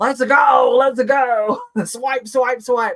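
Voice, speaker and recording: An extremely high-pitched put-on character voice from a man. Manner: hyped, salesy.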